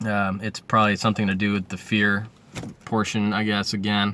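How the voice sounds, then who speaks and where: Against noticeable background noise, a man talks in a fairly low, monotone voice with flat intonation. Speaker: vlogger sharing recovery from benzo withdrawal. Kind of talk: personal vlog testimony. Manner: fast.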